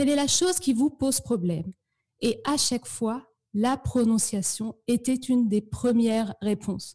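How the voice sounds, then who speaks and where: At a fairly slow pace, a woman speaks in a plain, everyday voice, fairly high in pitch with ordinary variation. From northern France (Normandy, Eure). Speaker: French pronunciation teacher. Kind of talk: interview.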